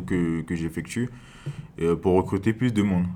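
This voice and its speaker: His pitch is very deep and low. The man talks at a moderate pace in a dark, mellow tone. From French Guiana, Cayenne. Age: young. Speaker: gendarme. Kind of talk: interview. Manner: halting.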